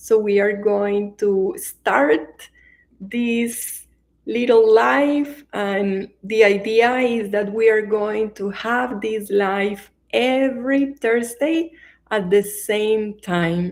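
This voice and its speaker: Speaking very slowly with a Colombian accent, a woman uses a fairly high pitch and ordinary pitch variation. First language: Spanish. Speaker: meditation teacher. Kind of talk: live-stream introduction before guided meditation. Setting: online livestream.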